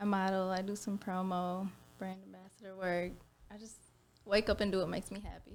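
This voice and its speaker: Speaking quickly in an American accent, a woman keeps her intonation monotone and flat. Her loudness swings widely. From Minnesota. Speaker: nurse and lash tech. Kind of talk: casual interview chat. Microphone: mic buzzing, may be too far or gain too high.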